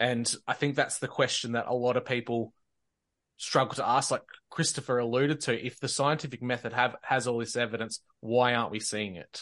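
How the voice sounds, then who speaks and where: A man with an Australian accent talks at a fairly quick pace. His pitch is medium and his intonation fairly even. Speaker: podcast host and roundtable organizer. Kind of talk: roundtable discussion on faith and conspiracies.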